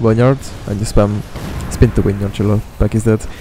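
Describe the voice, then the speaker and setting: A man's fairly low voice with a non-native accent, fairly even intonation and a moderate pace, over noticeable background noise. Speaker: video game streamer and guide maker. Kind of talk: game guide commentary. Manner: casual, hesitant.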